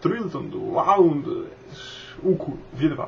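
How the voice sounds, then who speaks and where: Faint noise sits in the background. A male voice is speaking. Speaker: video blogger. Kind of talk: casual tutorial talk to camera. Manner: hesitant, many filler sounds. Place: home room. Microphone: webcam.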